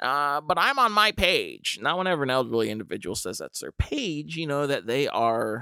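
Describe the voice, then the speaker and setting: In a very clean recording with a silent background, a man talks with a bright, sharp tone and lively intonation. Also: dry, close sound with no echo. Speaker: podcast host and freestyle rapper. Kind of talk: casual monologue. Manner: meandering, stumbling.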